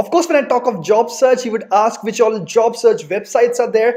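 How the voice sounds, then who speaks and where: A man with an Indian accent, high-pitched, at a fairly quick pace. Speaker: immigration YouTuber. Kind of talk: advice vlog. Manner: fast.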